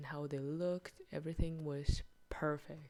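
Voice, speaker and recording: A woman is speaking with a fairly low pitch. She keeps a moderate pace. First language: not English. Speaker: video blogger reviewing books and films. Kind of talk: casual monthly review monologue.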